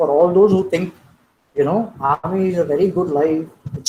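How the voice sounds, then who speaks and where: A man talks at a fairly quick pace. His voice is high, with fairly even intonation. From India, Chennai. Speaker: army officer, keynote speaker. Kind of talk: lecture. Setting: online webinar.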